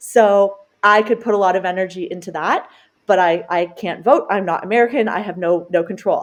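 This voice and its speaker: An ordinary speaking voice from a woman with a Canadian accent, medium pitch, ordinary pitch variation and a moderate pace. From Canada. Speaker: dietitian and cancer survivor. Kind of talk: podcast interview.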